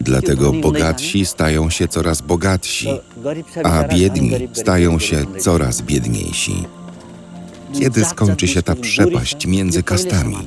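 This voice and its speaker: Very slow delivery with very wide pitch swings and music in the background. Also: man, very deep, low pitch for a man. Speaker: voice-over narrator. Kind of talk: documentary voice-over translation.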